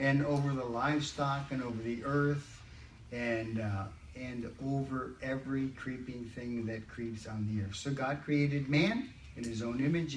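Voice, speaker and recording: Amid noticeable background noise and audible room echo, a man speaks at a moderate pace with a medium pitch and fairly even intonation. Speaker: church workshop leader. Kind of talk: church group teaching session. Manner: hesitant, repeats words.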